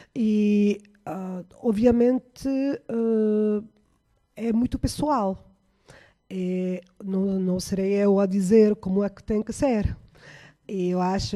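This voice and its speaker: A woman's medium-pitched voice with a dark, mellow tone and fairly even intonation, on a very clean recording with a silent background. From Italy. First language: Italian (speaking Portuguese). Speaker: researcher. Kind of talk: panel discussion. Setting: radio studio. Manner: halting, many fillers.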